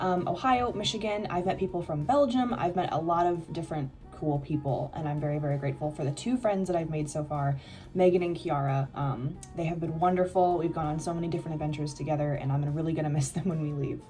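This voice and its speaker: Over music in the background, a woman with a Midwestern accent talks at a very fast pace in a very deep, low pitch. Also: ordinary pitch variation. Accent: Midwest American. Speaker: exchange student vlogger. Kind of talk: casual vlog. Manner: casual, many fillers.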